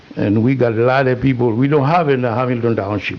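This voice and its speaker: With noticeable background noise behind him, a man of medium pitch talks in a fairly even intonation. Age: 80s+. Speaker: public commenter at council meeting. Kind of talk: public comment. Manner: halting.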